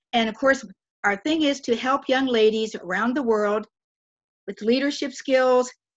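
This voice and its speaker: With an American accent, a woman speaks in a high pitch. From West Virginia. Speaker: retired teacher and author. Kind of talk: interview. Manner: animated.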